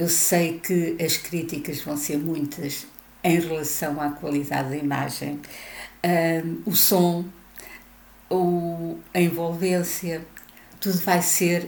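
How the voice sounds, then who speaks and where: Speaking at a very slow pace with long, frequent pauses, a woman with a European Portuguese accent uses a fairly low pitch and fairly even intonation, and the room echo is audible. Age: 70s. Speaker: retiree vlogger. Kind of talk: video monologue.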